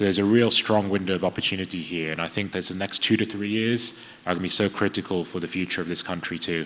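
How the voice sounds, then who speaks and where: A man with an English accent, very deep and low in pitch, talking at a very fast pace with fairly even intonation. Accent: sounds very English. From UAE. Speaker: AI ethics lecturer, panelist. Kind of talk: panel discussion. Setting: conference stage with audience.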